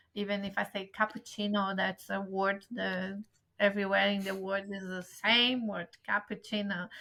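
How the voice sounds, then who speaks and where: The voice is bright and sharp, with a strong Brazilian accent. It moves at a moderate pace with monotone, flat intonation. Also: woman, medium pitch for a woman. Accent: Brazilian accent in English, still strong. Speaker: travel agent. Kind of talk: interview.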